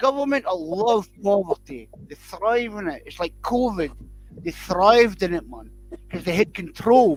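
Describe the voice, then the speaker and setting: The speaker has a Scottish accent. The delivery moves at a moderate pace. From Scotland. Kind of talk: casual chat.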